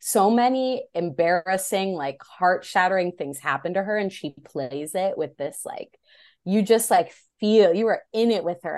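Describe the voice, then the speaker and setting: A woman in a plain, everyday voice, fairly low in pitch, fairly slow, ordinary pitch variation, quiet background. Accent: American. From US Midwest, Illinois. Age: 30s. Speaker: novelist. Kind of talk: interview.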